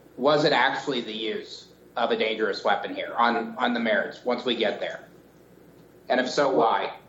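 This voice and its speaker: A man's moderate-paced talking is accompanied by noticeable background noise. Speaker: appellate judge. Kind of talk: oral argument. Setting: video call.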